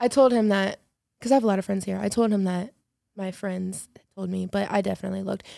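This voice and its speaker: Talking very fast with an American accent, a woman has a dark, mellow tone and fairly even intonation. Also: medium pitch for a woman, very clean recording, silent background. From Chicago, US Midwest. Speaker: podcast guest. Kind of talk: casual chat.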